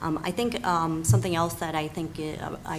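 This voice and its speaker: Room echo and noticeable background noise surround this woman's fairly quick speech. Her very deep, low pitch stays on a fairly even intonation. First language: not English. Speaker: school board applicant. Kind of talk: interview.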